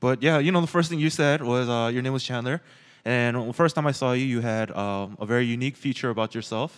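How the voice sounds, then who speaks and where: On a very clean recording with a silent background, a man talks at a very fast pace with an American accent. His pitch is medium, with ordinary variation. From Los Angeles, US. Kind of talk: casual chat. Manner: casual, joking.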